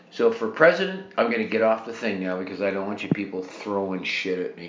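A man's lively intonation over noticeable background noise. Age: 70s. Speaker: podcaster and military veteran. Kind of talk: rant monologue. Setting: home bathtub. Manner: animated.

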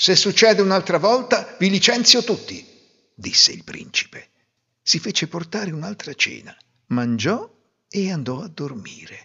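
Animated in tone with lively intonation, a man speaks in a high pitch at a fairly slow pace, pausing long and often. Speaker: fairy tale narrator. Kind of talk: fairy tale storytelling, scripted narration. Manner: animated, expressive, voicing characters in dialogue.

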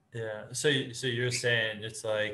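A man speaks at a medium pitch with a bright, sharp tone and monotone, flat intonation. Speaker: podcast host. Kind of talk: casual interview chat.

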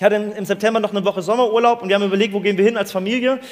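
There is noticeable background noise as a man speaks at a high pitch and a very fast pace. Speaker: preacher. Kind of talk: sermon to a live youth audience. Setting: live in a room with audience. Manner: lively, conversational, explains with everyday examples; warm, earnest, inviting.

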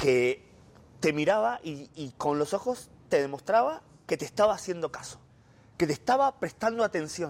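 A man at a moderate pace, fairly high in pitch, with very wide pitch swings. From Argentina. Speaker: journalist, former Vatican correspondent. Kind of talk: interview.

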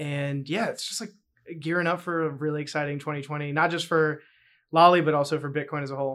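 Speaking at a very fast pace with fairly even intonation, a man with an American accent has a fairly high pitch on a very clean recording with a silent background. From US South, North Carolina. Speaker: tech startup CEO. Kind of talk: casual interview chat. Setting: studio.

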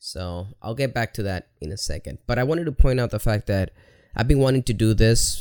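With a Spanish accent, a man is talking. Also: very clean recording, silent background. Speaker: video creator. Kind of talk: personal monologue vlog. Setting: home recording to camera. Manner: casual, halting with fillers.

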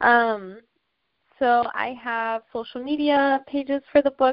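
Speaking very slowly, a woman talks with an American accent. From Washington, D.C. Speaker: filmmaker and photographer. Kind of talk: interview.

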